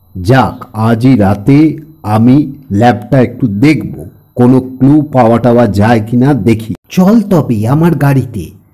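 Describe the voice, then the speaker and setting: A booming, put-on character voice from a man, medium in pitch with ordinary pitch variation, at a fairly slow pace and very even loudness. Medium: read story. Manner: brisk, commanding, teasing.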